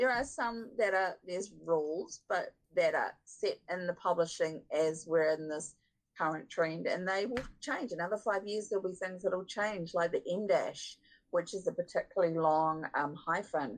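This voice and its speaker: This woman has a New Zealand accent and a medium pitch. She talks at a moderate pace with ordinary pitch variation. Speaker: book editor. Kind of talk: podcast interview.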